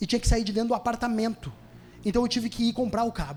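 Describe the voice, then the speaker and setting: This man's voice sits at an extremely high pitch. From Rio Grande do Sul, Brazil. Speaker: stand-up comedian. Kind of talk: stand-up comedy set. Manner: casual, fast.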